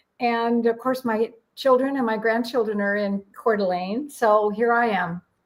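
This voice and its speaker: A woman with an American accent has a plain, everyday voice, a fairly high pitch, fairly even intonation and a moderate pace. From US Pacific Northwest, Washington State. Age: 60s. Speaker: numerologist. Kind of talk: radio interview.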